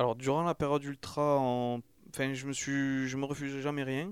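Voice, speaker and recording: Recorded very cleanly with a silent background and a dry, close sound with no echo, a man has an ordinary speaking voice at a medium pitch and a moderate pace. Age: 30s. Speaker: ultra-trail runner and gardener. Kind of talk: interview. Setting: recorded in Toulouse.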